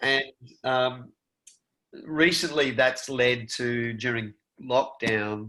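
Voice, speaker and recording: With an Australian accent, a man speaks at a very slow pace, taking long, frequent pauses. His medium-pitched voice has a bright, sharp tone and fairly even intonation. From rural Victoria, Australia. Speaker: actor. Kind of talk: interview answer. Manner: casual, conversational.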